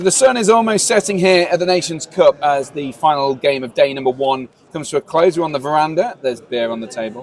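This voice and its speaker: His fairly high voice moves through very wide pitch swings as this man talks at a fairly quick pace. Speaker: tournament stream host. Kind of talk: live stream interview. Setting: outdoors on a veranda.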